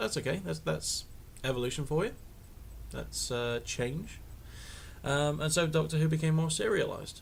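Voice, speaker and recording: A man with a West Country accent speaks at a moderate pace, leaving long, frequent pauses. Audible room echo surrounds his voice. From Devon, England. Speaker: vlogger. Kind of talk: casual vlog monologue. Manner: halting, many fillers.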